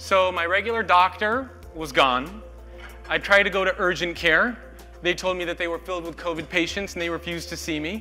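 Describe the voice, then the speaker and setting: Faint music plays in the background. A man speaks at a fairly quick pace. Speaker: speaker. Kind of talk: storytelling talk to an audience. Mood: personal, tense story. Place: hall. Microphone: lapel.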